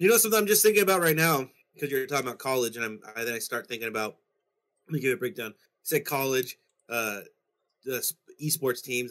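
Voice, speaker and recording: A man's medium-pitched, fairly quick delivery with ordinary pitch variation, an ordinary speaking voice. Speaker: podcast co-host. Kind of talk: casual chat.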